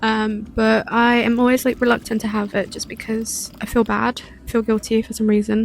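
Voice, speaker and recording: A British-accented woman in a monotone, flat intonation, fairly high in pitch, with music in the background. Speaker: cooking vlogger. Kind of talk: cooking vlog voiceover. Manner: casual, hesitant with fillers.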